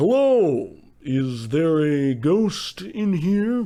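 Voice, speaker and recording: A man's put-on character voice, fairly high-pitched, with very wide pitch swings and a very slow pace. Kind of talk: comic overacting in old-time radio style. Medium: audio drama. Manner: pompous, smug, know-it-all.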